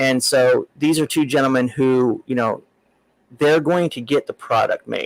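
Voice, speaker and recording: Dry and close with no echo, a man talks in an American accent. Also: fairly slow pace. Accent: Southern US redneck. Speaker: comics podcast host. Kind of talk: casual interview chat.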